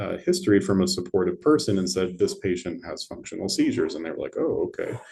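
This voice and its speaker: A man speaks at a fairly quick pace. His voice is somewhat breathy, with a dark, mellow tone. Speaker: neurologist. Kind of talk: lecture. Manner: fast.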